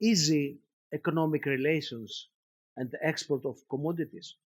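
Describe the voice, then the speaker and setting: At a fairly slow pace, a man with a Greek accent speaks in a fairly high pitch with a dark, mellow tone. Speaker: professor of philosophy. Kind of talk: lecture. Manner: halting.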